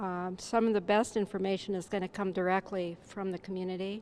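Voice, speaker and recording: A soft-spoken woman. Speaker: seminar participant. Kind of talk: group discussion report.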